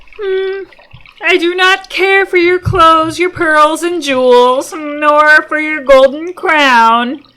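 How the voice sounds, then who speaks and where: Delivered at a very slow pace, the put-on character voice sits at a high pitch. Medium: read story. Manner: humming "mm" before speaking, coaxing.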